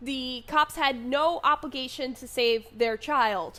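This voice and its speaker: A woman's raised, projected voice, high in pitch and bright and sharp in tone, with ordinary pitch variation. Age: 20s. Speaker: vlogger. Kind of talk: unscripted monologue.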